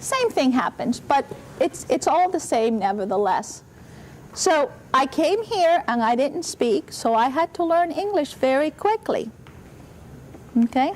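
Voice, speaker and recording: Very wide pitch swings run through this woman's high-pitched voice, which keeps very even loudness between long, frequent pauses. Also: fairly slow pace. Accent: Spanish. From Spain (Basque region), born in Cuba. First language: Spanish. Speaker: university president. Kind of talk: talk to schoolchildren. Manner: animated.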